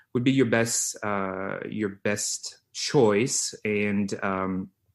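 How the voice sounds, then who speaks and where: A man's medium-pitched voice with a French accent and fairly even intonation, against a quiet background. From France, Lyon. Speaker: physical therapist. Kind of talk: interview. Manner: halting, many fillers.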